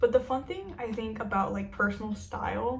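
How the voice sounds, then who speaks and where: A woman's voice carries audible room echo. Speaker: fashion YouTuber. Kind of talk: casual vlog talk to camera. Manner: casual, filler-heavy.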